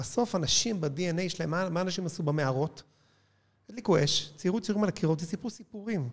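In a very clean recording with a silent background, a man talks at a fairly quick pace in a high pitch. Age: 50s. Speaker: cinema chain executive. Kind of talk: interview.

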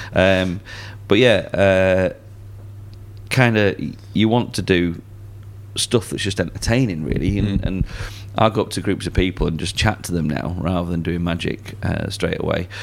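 A man with a Lancashire accent speaks at a moderate pace in a very deep, low pitch, with fairly even intonation. He leaves long, frequent pauses, and there is noticeable background noise. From Lancashire, northern England. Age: 30s. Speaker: magician. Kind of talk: casual chat. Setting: restaurant basement.

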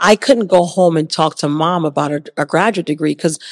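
A woman's fairly low voice with an American accent, a very fast pace and ordinary pitch variation. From Jamaica, then Hartford, Connecticut. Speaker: university dean of students. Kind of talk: interview.

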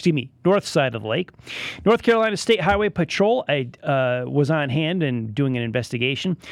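A man with an American accent speaks fairly quickly at a fairly high pitch, his pitch swinging very widely. The recording is very clean with a silent background. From Connecticut, New England. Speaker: radio news host. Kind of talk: radio news talk show. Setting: radio studio.

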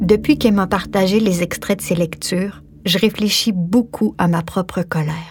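The voice has vocal fry and ordinary pitch variation. It moves at a moderate pace. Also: woman, medium pitch for a woman. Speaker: author and actress. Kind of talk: scripted narration.

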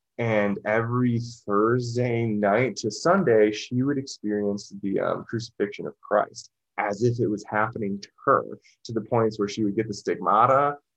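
In a plain, everyday voice, a man talks at a moderate pace with a medium pitch and fairly even intonation. The background is quiet. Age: 30s. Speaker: musician and esoteric researcher. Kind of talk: casual interview conversation.

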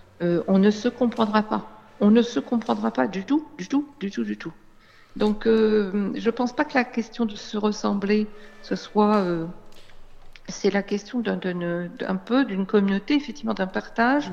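A woman speaks at a fairly slow pace and a fairly high pitch, with ordinary pitch variation and long, frequent pauses. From Réunion. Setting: phone call. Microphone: phone line.

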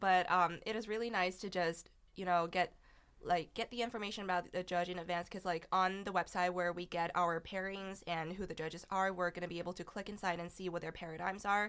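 A woman with a Chinese accent, medium pitch, monotone, flat intonation, and a fairly quick pace. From China. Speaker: college debater. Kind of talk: casual interview.

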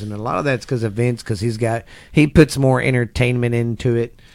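A man with a Texan accent delivers his words at a fairly quick pace and medium pitch in a monotone, flat manner. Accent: Texan Southern US. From Texas. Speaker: podcast co-host, wrestling fan. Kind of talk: casual chat. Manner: halting, many fillers.

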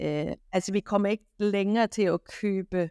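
A woman speaks at medium pitch. The sound is dry and close with no echo, on a very clean recording with a silent background. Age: 50s. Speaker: kitchen retail chain executive. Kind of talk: interview. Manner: hesitant, many fillers.

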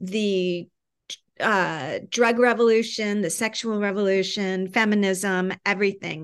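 A woman talks fairly slowly at a medium pitch, her intonation monotone and flat, against a quiet background. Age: 60s. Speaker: author and writing teacher. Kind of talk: casual chat.

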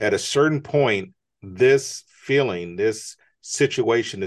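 Here is a man with an ordinary speaking voice, pitched fairly low. His intonation is lively, and the background is quiet. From United States. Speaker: entrepreneur and author. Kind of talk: interview.

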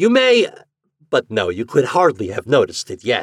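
In a put-on character voice, a man uses a medium pitch with very wide pitch swings, a slightly husky edge and a moderate pace, the sound dry and close with no echo.

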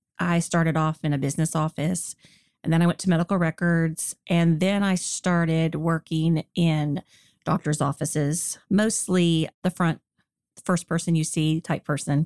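A woman speaks at a moderate pace in a normal speaking voice, her pitch fairly low. Her loudness stays very even and her intonation fairly even. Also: dry, close sound with no echo, very clean recording, silent background. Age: 50s. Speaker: facelift patient. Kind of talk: interview.

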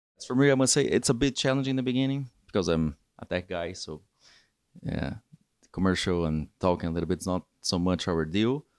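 Very deep and low, a man's voice swings very widely in pitch at a fairly quick pace, with a Portuguese accent. The sound is dry and close with no echo, in a very clean recording with a silent background. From Brazil. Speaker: data engineer. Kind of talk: casual interview. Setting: rooftop hotel location.

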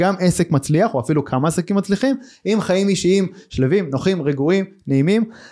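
A man's dark, mellow voice at a fairly quick pace with ordinary pitch variation, on a very clean recording with a silent background. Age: 40s. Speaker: podcast host, entrepreneur. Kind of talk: interview.

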